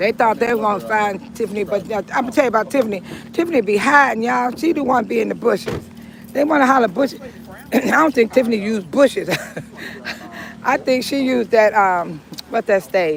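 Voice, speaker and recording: The speech is very fast, yet broken by long, frequent pauses. The intonation is lively, with noticeable background noise behind it. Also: woman, fairly high pitch for a woman. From California. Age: 60s. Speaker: local YouTuber and community activist. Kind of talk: casual chat.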